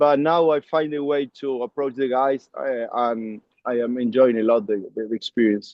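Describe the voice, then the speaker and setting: A man with an Argentine accent talks at a moderate pace. His pitch is medium and his intonation fairly even. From Argentina, Córdoba. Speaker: rugby coach. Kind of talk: interview. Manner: halting, many fillers.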